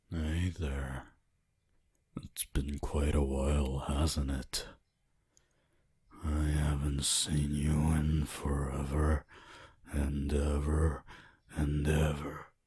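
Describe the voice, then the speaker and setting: In a put-on character voice, a man speaks with a very deep, low pitch and a theatrical tone. His delivery is very slow and monotone, with long, frequent pauses. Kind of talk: ASMR roleplay. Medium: virtual streamer. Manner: slow, possessive, theatrical.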